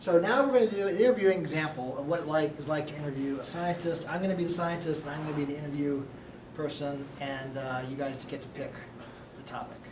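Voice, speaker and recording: Very fast speech over noticeable background noise. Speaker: university lecturer. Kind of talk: casual classroom. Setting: classroom. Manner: fast talker; excited, energetic.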